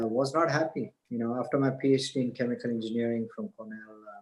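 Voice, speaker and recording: A man speaks fairly quickly with an Indian accent. His pitch sits in the medium range and his intonation is fairly even. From India, Mumbai. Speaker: spiritual teacher and businessman. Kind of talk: podcast interview, personal story.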